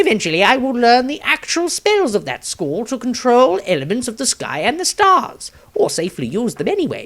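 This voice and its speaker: A man doing a put-on character voice, pitched extremely high and raised to project. He talks at a moderate pace with very wide pitch swings and hardly any pauses. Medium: read story. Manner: grandiose, earnest, rambling.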